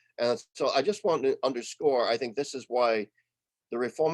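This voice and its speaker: With an American accent, a man talks at a fairly quick pace in an unremarkable speaking voice of medium pitch, the sound dry and close with no echo. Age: 60s. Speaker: retired theology professor. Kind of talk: webinar talk. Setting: online webinar.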